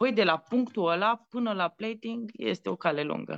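In a Transylvanian accent, the speaker moves at a fairly slow pace with lively intonation. The sound is dry and close with no echo, over a quiet background. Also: woman. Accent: Transylvanian Romanian. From Romania, Maramureș (Baia Mare). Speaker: chef and TV cooking show judge. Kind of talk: casual interview. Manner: animated.

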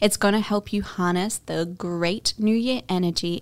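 With an Australian accent, a woman speaks at a medium pitch in a calm, soothing tone, using ordinary pitch variation. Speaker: podcast host. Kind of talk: guided meditation. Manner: calm, soft, slow and soothing, with warm, affectionate address; gently instructive with long pauses.

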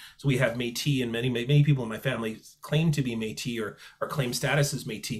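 In a Canadian accent, a man talks at a very fast pace with fairly even intonation. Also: medium pitch for a man. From Manitoba, Canada (Selkirk). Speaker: author and professor. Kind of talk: interview conversation.

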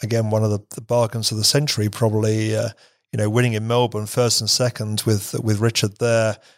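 On a very clean recording with a silent background, a man with an English accent speaks at medium pitch and a fairly quick pace in a monotone, flat intonation. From England. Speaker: business executive. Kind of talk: interview. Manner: halting, many repeated words.

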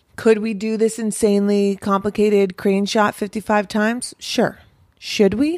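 A woman with a plain, everyday voice speaks at a medium pitch and moderate pace with fairly even intonation, the sound dry and close with no echo in a very clean recording with a silent background. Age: 30s. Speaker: film producer. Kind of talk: casual interview.

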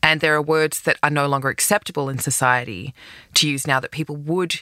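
A woman speaks at a very deep, low pitch with a bright, sharp tone in an Australian accent. The sound is dry and close with no echo. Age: 40s. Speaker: podcast host, advice columnist. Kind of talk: advice monologue.

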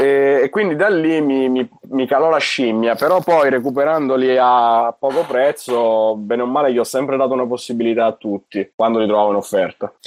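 An unremarkable speaking voice: a man at a medium pitch and moderate pace, with ordinary pitch variation. He hardly pauses and keeps his loudness very even. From Italy, Monza (Lombardy). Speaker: video game shop worker. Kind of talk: casual chat.

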